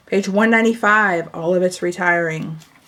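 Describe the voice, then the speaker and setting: Her pace is fairly slow, in a normal speaking voice. The woman has medium pitch and ordinary pitch variation. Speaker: papercraft product demonstrator. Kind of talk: tutorial. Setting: home video recording, camera.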